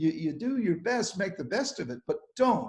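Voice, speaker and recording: Somewhat breathy delivery at a moderate pace with very wide pitch swings. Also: man. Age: 70s. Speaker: psychiatrist and ADHD expert. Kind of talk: webinar talk. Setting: live online webinar. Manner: animated.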